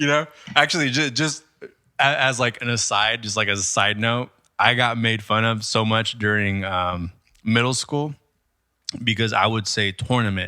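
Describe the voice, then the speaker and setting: A man speaks at a medium pitch in a bright, sharp and animated tone. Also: ordinary pitch variation, moderate pace. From California, Mexican-American family. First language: Spanish. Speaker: podcast co-host, musician. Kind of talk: casual chat. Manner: halting.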